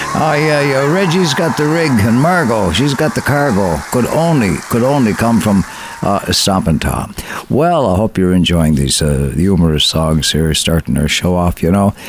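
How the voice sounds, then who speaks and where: With very even loudness but very wide pitch swings, a man talks fairly slowly at a fairly low pitch amid noticeable background noise. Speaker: radio host. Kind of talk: radio show hosting, casual and warm. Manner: warm, upbeat, chatty.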